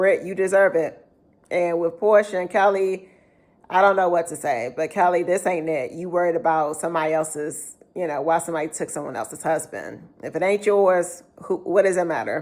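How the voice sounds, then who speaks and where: A woman speaks at a moderate pace in an unremarkable speaking voice. Her pitch sits fairly low, with ordinary variation. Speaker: YouTuber reviewing reality TV. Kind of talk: casual vlog review.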